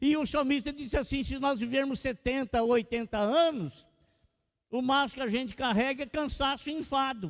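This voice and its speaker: This man's voice sits at an extremely high pitch. His pitch moves in an ordinary way. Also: moderate pace. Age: 60s. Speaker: pastor. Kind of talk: sermon.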